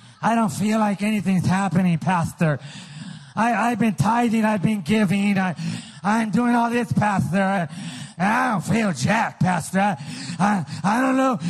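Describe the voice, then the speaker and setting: A man's high-pitched, animated voice with very even loudness and ordinary pitch variation, over noticeable background noise. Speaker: preacher. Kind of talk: fiery sermon, call-and-response preaching to a live congregation, pushing to a climax. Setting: church with audience.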